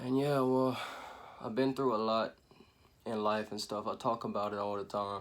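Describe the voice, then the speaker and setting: With long, frequent pauses, a man with an American accent speaks at a medium pitch and fairly even intonation. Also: moderate pace. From Louisiana (Acadiana, Elton area). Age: 20s. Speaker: vlogger. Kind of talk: personal life story monologue. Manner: casual, filler-heavy.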